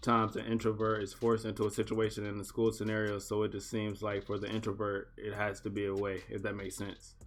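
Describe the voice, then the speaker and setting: Music plays behind a man with fairly low pitch who talks fairly quickly in a monotone, flat intonation. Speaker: podcast co-host. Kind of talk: casual chat. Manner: fast.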